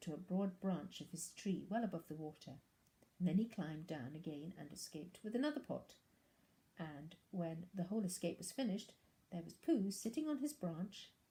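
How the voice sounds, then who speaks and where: A woman's somewhat breathy voice, dark and mellow in tone, at a fairly quick pace with lively intonation. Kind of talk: storybook narration.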